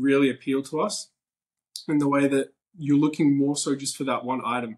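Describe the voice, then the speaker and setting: This man speaks with an Australian accent. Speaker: ticket collector. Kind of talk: podcast interview.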